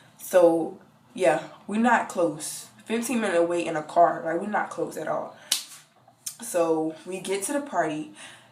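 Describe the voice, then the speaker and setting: With long, frequent pauses and noticeable background noise, a woman at a fairly low pitch speaks with lively intonation. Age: young. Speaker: college student. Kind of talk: casual story time to camera.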